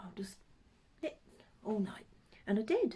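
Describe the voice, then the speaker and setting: A woman's somewhat breathy voice with a Norfolk accent. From Norfolk, eastern England. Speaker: craft vlogger. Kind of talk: casual chat. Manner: hesitant with many ums.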